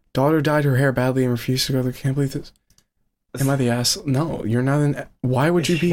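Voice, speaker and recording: Here is a man with an ordinary speaking voice. He talks at a fairly quick pace with a fairly high pitch. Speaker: podcast host. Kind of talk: casual chat.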